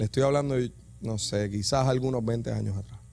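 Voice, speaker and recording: This man has a dark, mellow tone with a Puerto Rican accent, a somewhat breathy delivery and ordinary pitch variation. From Puerto Rico, Yabucoa. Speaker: preacher. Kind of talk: sermon. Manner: animated; halting.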